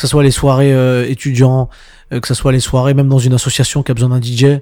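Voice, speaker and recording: On a very clean recording with a silent background, a man with a dark, mellow tone speaks at medium pitch in a monotone, flat intonation. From Montreuil, Paris suburbs, France. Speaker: DJ. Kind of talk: casual interview chat. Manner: halting, many fillers.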